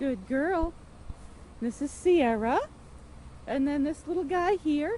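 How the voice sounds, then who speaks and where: Her intonation lively and her pitch high, a woman with an American accent speaks in a relaxed tone. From New York State, USA. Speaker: ESL teacher. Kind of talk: casual narrated farm tour. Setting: outdoors. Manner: relaxed, hesitant.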